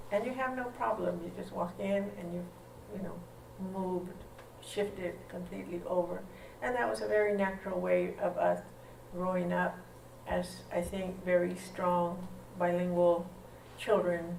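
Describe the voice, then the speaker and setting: Pausing long and often, a woman speaks at a moderate pace amid noticeable background noise and audible room echo. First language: O'odham. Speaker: linguistics professor. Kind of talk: lecture.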